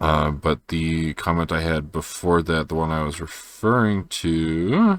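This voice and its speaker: In a quiet voice, a man with a very deep, low pitch talks at a fairly slow pace with fairly even intonation. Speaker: video journal creator. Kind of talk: personal video journal. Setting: at home at night. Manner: quiet, low energy; hesitant, many fillers.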